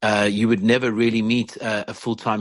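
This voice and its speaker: A man's fairly low voice, monotone and flat, against a quiet background. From South Africa. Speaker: rock singer. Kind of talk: casual chat.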